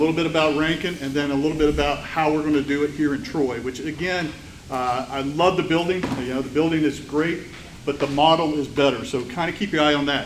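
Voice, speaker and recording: The speaker races at a very fast pace with fairly even intonation, with audible room echo and noticeable background noise. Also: man, fairly high pitch for a man. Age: old. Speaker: technical college executive. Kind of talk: presentation with slides. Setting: breakfast event with audience.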